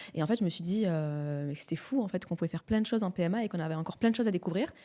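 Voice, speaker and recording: Talking at a very fast pace, a woman has a dark, mellow tone and ordinary pitch variation. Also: medium pitch for a woman. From southern France, Montpellier. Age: 30s. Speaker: midwife. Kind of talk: podcast interview.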